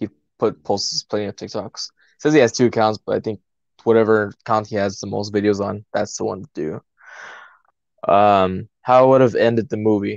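A man with fairly low pitch uses an ordinary speaking voice. He keeps a moderate pace and fairly even intonation over a quiet background. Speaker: podcast co-host. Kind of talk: casual chat.

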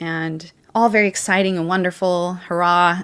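In a General American accent, a woman with a fairly low pitch talks at a moderate pace with fairly even intonation in a plain, everyday voice, on a very clean recording with a silent background. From US Pacific Northwest, Washington State. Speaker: homeschooling mother. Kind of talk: casual chat.

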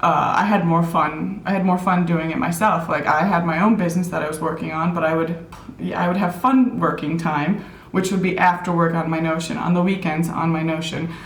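With an American accent and a fairly low pitch, a woman speaks at a fairly quick pace amid noticeable background noise and audible room echo. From US Midwest, Minneapolis, Minnesota. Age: 30s. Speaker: productivity app consultant. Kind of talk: casual interview.

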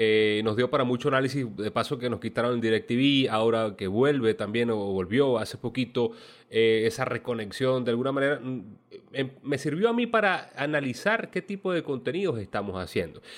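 A man's plain, everyday voice at a medium pitch, with ordinary pitch variation and a moderate pace. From Venezuela. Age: 30s. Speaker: podcast host. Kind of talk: casual interview.

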